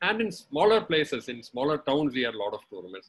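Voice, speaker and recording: A man talks at a very fast pace in a fairly high pitch. His pitch swings very widely. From India, Kerala (Ernakulam/Cochin); Kerala, India. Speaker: former cricketer and umpire; webinar guest. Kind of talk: webinar talk. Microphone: video call.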